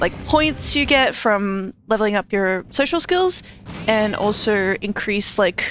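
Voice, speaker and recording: With music in the background, a woman with a fairly high pitch talks at a fairly slow pace, her intonation lively and her loudness very even. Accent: Australian. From Australia. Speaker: video game streamer. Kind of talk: casual gaming livestream commentary.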